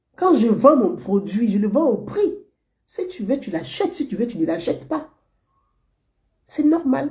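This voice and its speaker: A woman's dark, mellow voice rides high in pitch and swings very widely. She talks at a fairly slow pace with long, frequent pauses. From Côte d'Ivoire, Abobo (Abidjan). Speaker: online political commentator. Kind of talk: monologue commentary to viewers.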